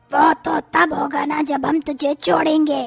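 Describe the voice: A raspy, cartoonish character voice, female-sounding and high in pitch, at a moderate pace.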